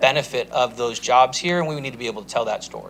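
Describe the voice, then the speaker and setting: Talking at a very fast pace, a man rattles through his lines. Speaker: city staff presenter. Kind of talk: presentation at city council meeting.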